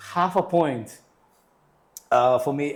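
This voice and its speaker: This man has an American accent and a fairly high pitch. He talks at a fairly slow pace with ordinary pitch variation. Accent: American-sounding English, formerly Uzbek. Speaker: English teacher and IELTS tutor. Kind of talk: interview. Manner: casual, uses fillers and self-corrections.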